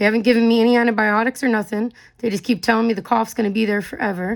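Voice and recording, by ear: At a fast pace, a woman speaks at a medium pitch, raspy and with vocal fry, her intonation fairly even.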